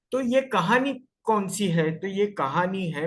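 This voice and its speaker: This is a man talking. His pitch swings very widely. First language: Marathi (speaking Hindi). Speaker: homeopathic doctor and guest lecturer. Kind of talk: lecture. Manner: halting, self-correcting.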